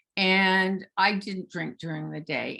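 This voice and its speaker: A woman speaks in an ordinary speaking voice, pitched fairly low. Her pace is fairly slow. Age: 60s. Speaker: author and psychotherapist, recovery advocate. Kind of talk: interview.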